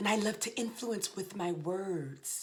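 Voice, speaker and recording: A woman with a fairly low voice speaks at a fairly slow pace in an animated tone. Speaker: leadership speaker. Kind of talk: motivational talk. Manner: loud.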